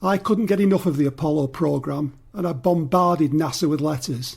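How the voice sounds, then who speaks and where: Speaking at a fairly quick pace, a man with a Mancunian accent uses a fairly high pitch and ordinary pitch variation. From northern England, Greater Manchester. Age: 60s. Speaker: podcast listener contributor. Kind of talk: personal testimony.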